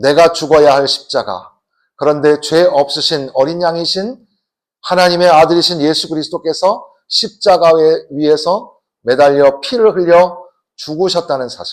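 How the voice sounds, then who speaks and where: A man's high-pitched voice at a moderate pace, in a very clean recording with a silent background. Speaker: guest pastor. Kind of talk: sermon. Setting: church.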